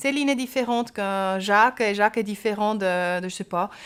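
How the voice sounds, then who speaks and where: On a very clean recording with a silent background, a woman with a Swiss German accent speaks at a moderate pace in a medium pitch. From German-speaking Switzerland. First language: Swiss German (speaking French). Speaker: pediatric surgeon. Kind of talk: interview. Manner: hesitant, with fillers.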